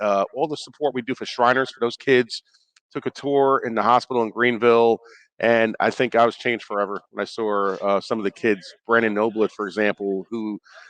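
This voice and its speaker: A man with a Brooklyn accent talks at a fairly quick pace, medium in pitch with fairly even intonation. The background is quiet and the sound is dry and close with no echo. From New York (Brooklyn). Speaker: former NFL player, player engagement rep. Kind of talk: radio interview. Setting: radio row at live sports event.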